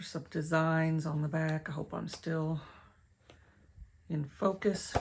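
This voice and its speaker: In a Tennessee accent, a woman with a very deep, low pitch speaks at a fairly slow pace, somewhat breathy and with monotone, flat intonation. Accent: West Tennessee. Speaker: crafter and online shop owner. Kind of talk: craft tutorial. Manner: casual, self-correcting.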